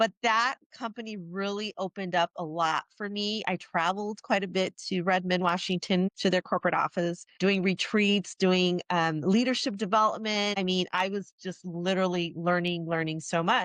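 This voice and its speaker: A woman with a Midwestern accent speaks at a moderate pace and medium pitch, her intonation fairly even and hardly any pauses, in a dry, close recording with no echo and a quiet background. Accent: Midwest. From Chicago, US Midwest. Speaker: HR executive. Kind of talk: interview.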